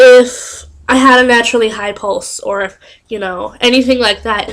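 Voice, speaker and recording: A loud, high-pitched woman's voice. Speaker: vlogger. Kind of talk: casual vlog storytelling. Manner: animated.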